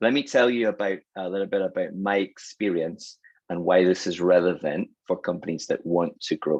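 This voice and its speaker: A man with a Scottish accent speaks against a quiet background, the sound dry and close with no echo. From Scotland. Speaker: sales and marketing consultant. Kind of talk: webinar presentation.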